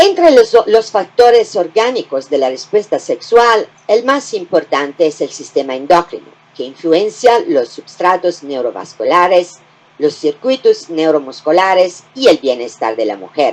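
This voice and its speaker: A woman in an Italian accent, fairly slow and medium-pitched, with very wide pitch swings. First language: Italian (speaking Spanish). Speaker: gynecology professor. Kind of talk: lecture.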